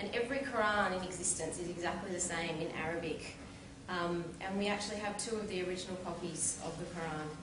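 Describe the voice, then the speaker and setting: Noticeable background noise and audible room echo surround a woman's voice. She talks at a fairly quick pace with ordinary pitch variation. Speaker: convert speaker. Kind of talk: public talk, testimony. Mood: calm, sincere. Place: hall. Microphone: camera far.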